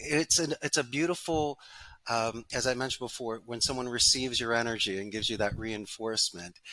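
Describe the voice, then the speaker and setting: With a Philadelphia accent, a man speaks at a fairly quick pace in a bright, sharp tone at medium pitch with ordinary pitch variation, on a very clean recording with a silent background. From Philadelphia, US. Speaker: call center business owner. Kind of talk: podcast interview.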